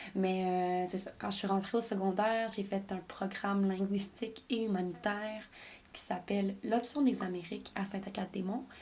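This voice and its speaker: A woman with a Quebec accent, at a moderate pace and with fairly even intonation. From Quebec, French parents. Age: 20s. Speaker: podcast host. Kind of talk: casual personal monologue.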